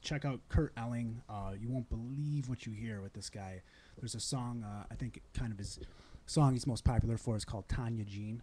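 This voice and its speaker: On a very clean recording with a silent background, a man of medium pitch speaks at a moderate pace, somewhat breathy, with fairly even intonation and big swings in loudness. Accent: American. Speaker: singer. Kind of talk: casual chat. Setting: studio. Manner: calm.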